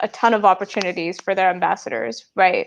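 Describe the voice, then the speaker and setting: At a moderate pace, a woman speaks with a Telugu accent. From UAE (Indian family). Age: 20s. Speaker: entrepreneur. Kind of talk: interview.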